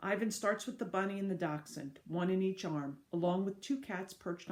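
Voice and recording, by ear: A natural voice reading aloud, its pitch shifting in an ordinary way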